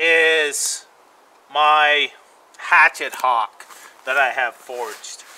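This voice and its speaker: The pitch moves in an ordinary way. The speaker is a man. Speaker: bushcraft vlogger. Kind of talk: casual vlog chat. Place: forest.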